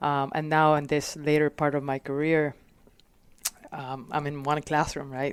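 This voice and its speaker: Speaking at a fairly slow pace with long, frequent pauses, a woman with a slight Puerto Rican accent keeps a very deep, low pitch and a monotone, flat intonation. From Puerto Rico. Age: 40s. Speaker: fire captain. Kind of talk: casual interview. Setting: podcast. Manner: halting, many fillers.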